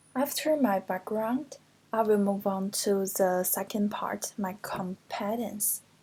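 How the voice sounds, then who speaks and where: In a Chinese accent, a woman speaks at a very slow pace with fairly even intonation. Her voice is somewhat breathy with a dark, mellow tone and medium pitch. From China (Hunan). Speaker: postgraduate translation student. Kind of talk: class presentation.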